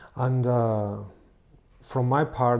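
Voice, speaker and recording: A man with a Spanish accent speaks at a very slow pace. His tone is dark and mellow, and his pitch sits in the middle range. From Spain. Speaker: music producer and co-author. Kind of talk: channel introduction.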